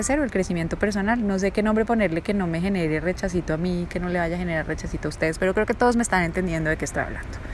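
Noticeable background noise sits behind a woman's voice. She speaks at medium pitch with ordinary pitch variation. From Colombia, raised in Bogotá (born Bucaramanga). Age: 40s. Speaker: life coach and podcast host. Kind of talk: personal monologue. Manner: hesitant, many fillers.

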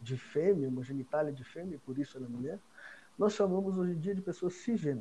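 The man has a normal speaking voice, fairly high in pitch. His intonation is lively. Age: 40s. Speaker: accountant. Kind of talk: explanatory interview talk.

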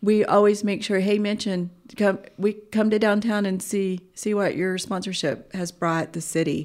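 A woman with an American accent speaks in a plain, everyday voice at a medium pitch, at a moderate pace with fairly even intonation and hardly any pauses, on a very clean recording with a silent background. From Alaska and Oklahoma. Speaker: city treasurer. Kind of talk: interview.

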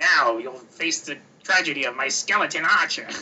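In a put-on character voice, a man talks at a moderate pace with a fairly high pitch. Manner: villainous, theatrical.

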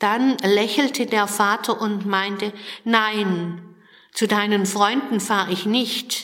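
The voice is plain reading aloud, delivered with fairly even intonation.

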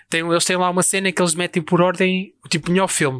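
This very clean recording has a silent background. A man with a European Portuguese accent talks very fast at a high pitch. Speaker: podcast co-host. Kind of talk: casual chat.

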